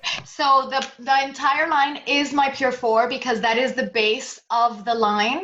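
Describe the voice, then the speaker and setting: Speaking at a fairly slow pace with hardly any pauses, a woman's high-pitched voice comes through over noticeable background noise. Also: ordinary pitch variation. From Puerto Rico. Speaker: former model and hair care entrepreneur. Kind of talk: interview about her products.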